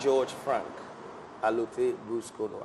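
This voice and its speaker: Speaking at a fairly slow pace, a man uses a fairly high pitch with very wide pitch swings. There is noticeable background noise. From Ghana, Ga people from Accra. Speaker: guest, music and culture enthusiast. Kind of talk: interview conversation. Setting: cafe, on camera. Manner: repetitive, hesitant phrasing.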